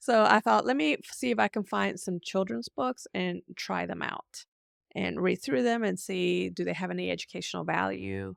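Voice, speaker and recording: The sound is dry and close, with no echo. A woman speaks at a moderate pace. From US military bases, born Puerto Rico. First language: Spanish. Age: 50s. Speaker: homeschool parent and book reviewer. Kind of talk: book review vlog. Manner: casual, conversational.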